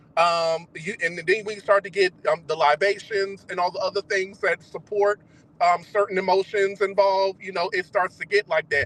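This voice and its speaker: Raised and projected, a man's high-pitched voice carries a bright, sharp tone at a moderate pace, with a dry, close sound and no echo. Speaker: discussion panelist. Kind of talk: casual group discussion. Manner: halting, many false starts.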